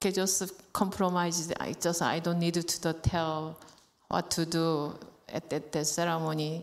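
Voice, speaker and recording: A woman with a Korean accent speaks at a fairly low pitch with monotone, flat intonation. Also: moderate pace. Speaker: temple member. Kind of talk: question to teacher. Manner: halting.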